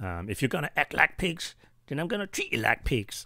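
A man's put-on character voice, fairly high in pitch with very wide swings, at a moderate pace in a very clean recording over a silent background. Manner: harsh, scolding.

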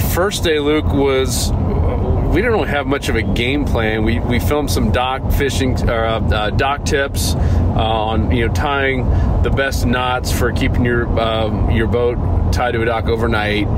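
Against loud background noise, a man talks at a fairly slow pace in a dry sound with no echo. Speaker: podcast co-host. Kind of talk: casual podcast storytelling. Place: car.

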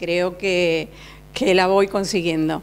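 A woman speaks at a very slow pace. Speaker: fashion designer. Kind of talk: interview. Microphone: handheld.

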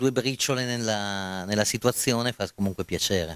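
With a fairly low pitch and fairly even intonation, a man speaks at a moderate pace with a dry sound and no echo. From Verona, northern Italy; northern Italy. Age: 40s. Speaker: comedian; interviewee. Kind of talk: interview. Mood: modest, relaxed. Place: hall. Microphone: handheld.

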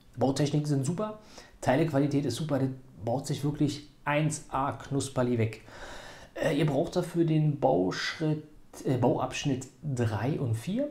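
Very slow and somewhat breathy, a man talks with a fairly high pitch, ordinary pitch variation and a dark, mellow tone. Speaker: toy building set reviewer. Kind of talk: casual video review. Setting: home at a building table. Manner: casual with frequent fillers.

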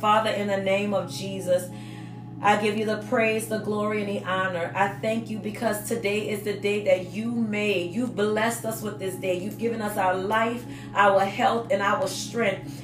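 Clear music can be heard behind the voice. A woman talks at a moderate pace. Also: ordinary pitch variation. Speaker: dance ministry teacher. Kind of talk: webinar teaching and spoken prayer. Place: office. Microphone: phone near.

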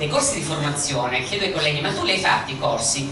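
Noticeable background noise runs under the voice. Room echo is audible too. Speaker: audience questioner. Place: hall.

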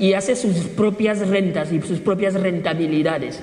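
A man speaks at a moderate pace with audible room echo around him. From Equatorial Guinea. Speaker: pan-Africanist activist; speaker. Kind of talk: public talk. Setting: stage with audience. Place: hall.

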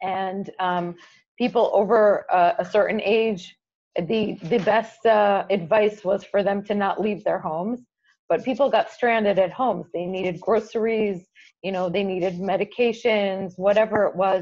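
With a Chicago accent, a woman speaks at a moderate pace with fairly even intonation over a quiet background. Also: medium pitch for a woman. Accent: American (Chicago) English. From US Midwest, Chicago, with years in Israel. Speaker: nonprofit executive. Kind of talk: interview. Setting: video call. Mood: warm, earnest. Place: home room. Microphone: earbuds.

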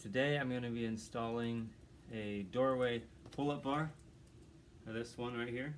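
Light background noise sits behind the speaker, a man. His intonation stays fairly even. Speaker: home handyman vlogger. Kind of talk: casual vlog chat. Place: home room. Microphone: phone near.

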